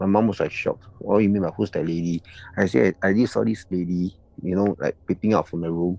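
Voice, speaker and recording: Speaking very fast in a Singaporean accent, the man has a fairly low, dark and mellow voice with fairly even intonation and a dry, close sound with no echo. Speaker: anonymous confessor. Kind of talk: casual storytelling of personal encounters. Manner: casual, chatty.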